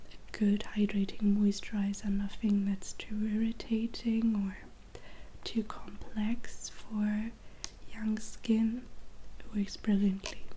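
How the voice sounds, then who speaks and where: A soft-spoken woman talks at a very slow pace. Her medium pitch stays monotone and flat. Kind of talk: ASMR skincare ramble.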